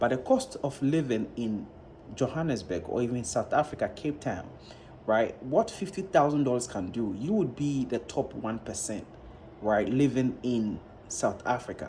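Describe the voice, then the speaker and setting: With lively intonation, the somewhat breathy voice carries a dark, mellow tone. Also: man, medium pitch for a man, moderate pace. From Ghana. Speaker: YouTuber, reaction vlogger. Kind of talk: casual vlog commentary.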